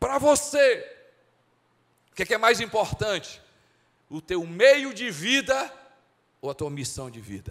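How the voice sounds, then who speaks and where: A man's high-pitched voice at a fairly slow pace, with very wide pitch swings, big swings in loudness, long, frequent pauses and a quiet background. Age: 50s. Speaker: pastor. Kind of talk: sermon. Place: church. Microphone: handheld.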